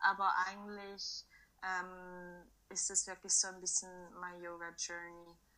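A woman's very slow, monotone delivery at a medium pitch, bright and sharp in tone, with big swings in loudness. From Switzerland. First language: Swiss German (speaking German). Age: 20s. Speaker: primary school teacher and yoga practitioner. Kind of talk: interview.

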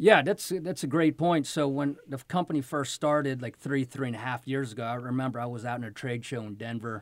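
At a fairly quick pace, a man with a medium pitch and ordinary pitch variation speaks in a plain, everyday voice. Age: 50s. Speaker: tech company co-founder. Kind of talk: interview.

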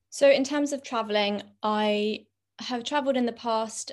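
A woman with a London accent against a quiet background. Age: 20s. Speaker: content creator. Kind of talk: casual chat.

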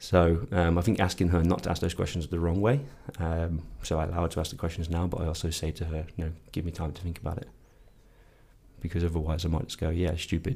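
A man speaks very fast in a very deep, low voice that is somewhat breathy, with a dark, mellow tone and fairly even intonation. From England. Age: 30s. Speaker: podcast co-host, sleep scientist. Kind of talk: casual chat.

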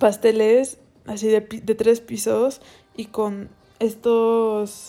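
Her voice is dark and mellow, with a fairly high pitch. This woman's intonation is monotone and flat. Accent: Mexican. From Mexico, Cancún. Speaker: podcast host. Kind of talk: casual music review monologue.

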